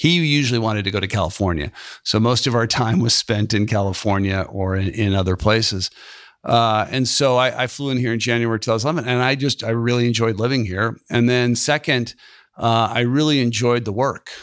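A man with a normal speaking voice and an American accent, medium pitch, ordinary pitch variation, very even loudness and a fairly quick pace, on a very clean recording with a silent background. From US West Coast (Silicon Valley). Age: 50s. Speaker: venture capitalist. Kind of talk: interview.

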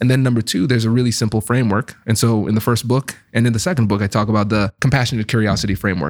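A man's medium-pitched voice at a very fast pace, with hardly any pauses, very even loudness, and a dry, close sound with no echo. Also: ordinary pitch variation. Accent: American. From Tiffin, Ohio (Caribbean American family). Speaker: negotiation expert and author. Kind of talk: podcast interview.

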